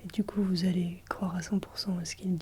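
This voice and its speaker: Soft-spoken and somewhat breathy, a woman with a gentle tone and medium pitch talks at a moderate pace in a flat, monotone delivery. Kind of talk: ASMR advice talk to camera. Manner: soft-spoken, gentle.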